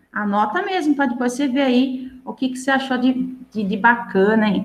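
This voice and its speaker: A woman speaks in a high voice, with audible room echo around her. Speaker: teacher. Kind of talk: lecture.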